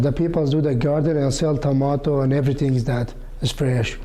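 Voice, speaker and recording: Over noticeable background noise and audible room echo, a man with a fairly high voice talks at a moderate pace with fairly even intonation. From Iraq. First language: Kurmanji. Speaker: community gardener. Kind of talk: interview. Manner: halting.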